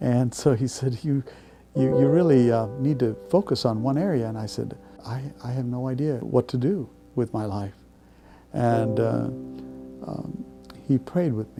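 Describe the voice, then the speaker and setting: Music plays in the background while a man speaks at a medium pitch and moderate pace, with ordinary pitch variation and long, frequent pauses. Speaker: church conference president. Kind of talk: interview answer.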